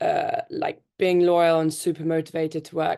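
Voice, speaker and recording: This is a woman with a British accent, recorded against a quiet background. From United Kingdom. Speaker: tech company founder. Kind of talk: panel talk.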